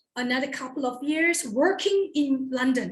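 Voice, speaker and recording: A woman with a Malaysian accent, bright, sharp tone and lively intonation, at a fairly slow pace. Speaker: toastmasters club member. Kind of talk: personal introduction speech.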